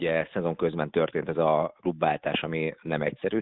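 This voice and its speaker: A man's very deep, low voice at a very fast pace. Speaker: fencing head coach. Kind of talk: radio interview answers.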